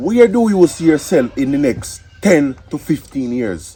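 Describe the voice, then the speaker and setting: Over noticeable background noise, a man speaks very slowly at a fairly high pitch, his voice swinging very widely. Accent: Jamaican. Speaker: interviewer in comedy skit. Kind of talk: comedy skit dialogue.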